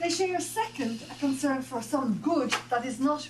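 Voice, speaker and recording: A woman's high voice with lively intonation, amid noticeable background noise and audible room echo. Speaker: professor. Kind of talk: reading aloud. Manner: fast.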